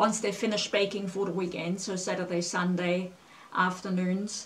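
Moderate pace from a woman speaker. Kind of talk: casual explanation to camera. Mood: warm, reminiscing. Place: home room. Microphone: camera far.

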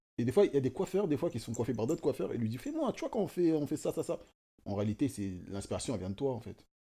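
A man rushes along at a very fast pace in a fairly high, somewhat breathy voice. His pitch swings very widely. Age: 20s. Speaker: self-taught fashion designer; guest. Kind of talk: casual chat. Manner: halting, many fillers and repetitions. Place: home room. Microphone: studio mic.

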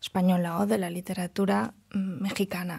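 A woman's dark, mellow voice with fairly even intonation, on a very clean recording with a silent background. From Catalonia, Spain. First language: Catalan and Galician (speaking Spanish). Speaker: novelist and doctoral student. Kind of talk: casual conversation.

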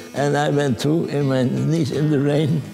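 Over clear music in the background, a man talks at a fairly slow pace and fairly high pitch. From Netherlands. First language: Dutch. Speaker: war survivor recounting childhood memories. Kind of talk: documentary interview answer. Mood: reminiscing, warm, animated. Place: home room.

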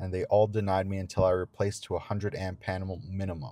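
A man speaks at a fairly quick pace. His voice is low in pitch with a slightly mellow tone.

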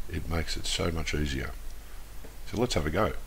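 There is audible room echo around this man's voice. He speaks very deep and low, with vocal fry. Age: 40s. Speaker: educational video creator. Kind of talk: tutorial.

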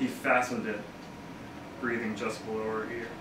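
A man speaks in a flat monotone, with noticeable background noise and audible room echo. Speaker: poet reading own work. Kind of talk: poetry reading. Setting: bookshop live reading. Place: shop. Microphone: camera far.

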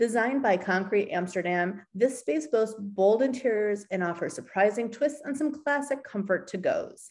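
Over a quiet background, a woman speaks at a fairly slow pace with lively intonation. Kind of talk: screen-share walkthrough, partly reading course text. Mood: upbeat, enthusiastic. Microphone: webcam.

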